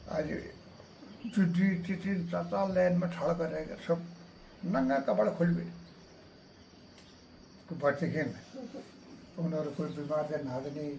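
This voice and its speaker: A fairly high-pitched man with ordinary pitch variation and long, frequent pauses, against noticeable background noise. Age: old. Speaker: army veteran. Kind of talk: interview answer.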